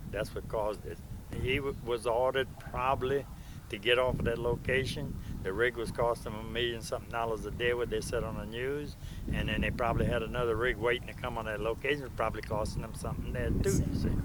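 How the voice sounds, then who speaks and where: A man rattles along at a very fast pace in a monotone, flat intonation. Audible room echo surrounds the voice. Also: medium pitch for a man. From Louisiana, Plaquemines Parish. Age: 70s. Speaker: retired oil field roughneck and welder. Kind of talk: interview. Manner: halting, repeating words.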